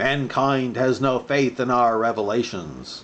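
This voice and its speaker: A booming put-on character voice from a man, at a fairly slow pace over clear background noise. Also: medium pitch for a man. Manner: commanding.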